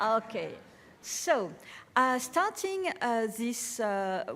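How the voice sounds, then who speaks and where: A woman speaks very slowly in a French accent, her intonation lively. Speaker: art curator. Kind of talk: lecture. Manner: halting, many fillers.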